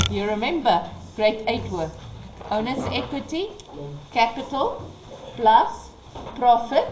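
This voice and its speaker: Over noticeable background noise and audible room echo, a woman with a fairly high pitch talks at a fairly slow pace, leaving long, frequent pauses as her loudness swings widely. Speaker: accounting teacher. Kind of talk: tutorial.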